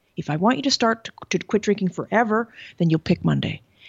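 An unremarkable speaking voice from a woman at medium pitch, with a Canadian accent and a fairly quick pace. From Canada. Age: 50s. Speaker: sobriety coach and caterer. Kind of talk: interview. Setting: video call.

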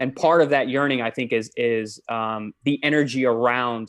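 Against a quiet background, a man talks in an ordinary speaking voice at medium pitch with fairly even intonation. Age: 30s. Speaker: professional boxer and nutritionist. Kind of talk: podcast interview. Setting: video call.

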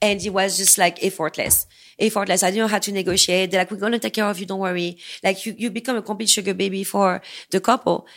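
A woman at medium pitch with a strong non-native accent, very fast pace and monotone, flat intonation. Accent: thick foreign. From US-born. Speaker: escort. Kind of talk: casual chat. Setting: studio.

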